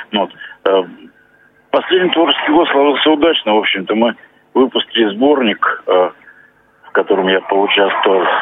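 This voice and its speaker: Pausing often and at length, a man otherwise keeps a moderate pace. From Russia, Voronezh. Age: 50s. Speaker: visually impaired poet and masseur. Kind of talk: phone interview. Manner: halting, many hesitations.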